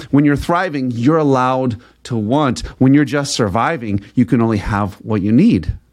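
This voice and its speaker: An ordinary speaking voice from a man, medium in pitch, at a moderate pace with lively intonation and hardly any pauses, over a quiet background. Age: 40s. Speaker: podcast host and sales coach. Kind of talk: motivational monologue.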